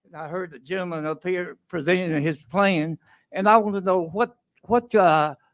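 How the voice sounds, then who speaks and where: Talking in a Tennessee accent, a high-pitched man keeps a moderate pace with ordinary pitch variation and big swings in loudness. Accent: Southern US (Tennessee). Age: 80s+. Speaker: resident commenting at public hearing. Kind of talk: public comment. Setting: council meeting podium.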